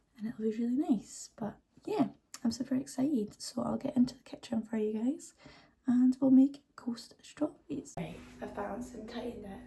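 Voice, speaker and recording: In a British accent, a woman with a fairly high pitch and a dark, mellow tone talks at a moderate pace with ordinary pitch variation, vocal fry, and big swings in loudness. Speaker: lifestyle vlogger. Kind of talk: vlog. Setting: at home in kitchen.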